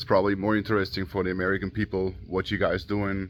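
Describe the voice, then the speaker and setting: With an Austrian accent, a man talks at a fairly quick pace and fairly low pitch, keeping his intonation fairly even. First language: German. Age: 30s. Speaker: auto shop owner and YouTuber. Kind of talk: casual vlog talk. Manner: halting, many fillers.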